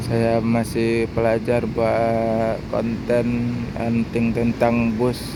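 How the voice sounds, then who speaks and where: A man at medium pitch talks very slowly in a flat monotone with hardly any pauses, over noticeable background noise and audible room echo. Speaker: bus-spotting vlogger. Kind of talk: casual vlog commentary. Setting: outdoors at a bus terminal. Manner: halting, hesitant.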